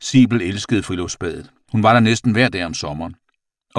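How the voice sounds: The quiet background lets a natural reading voice with ordinary pitch variation come through.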